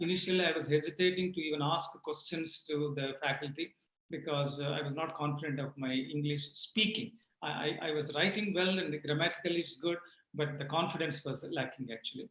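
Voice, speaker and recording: A man is speaking. He has a Telugu accent. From rural Andhra Pradesh / Telangana, India. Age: 60s. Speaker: retired IT executive. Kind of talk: interview.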